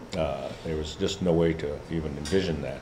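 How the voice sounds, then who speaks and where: At a very slow pace, a man talks with a very deep, low pitch. Audible room echo and noticeable background noise are present. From Alaska, Kotzebue area (Inupiat). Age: 70s. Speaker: Alaska Native leader and professor. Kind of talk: talk to students. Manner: halting, many fillers.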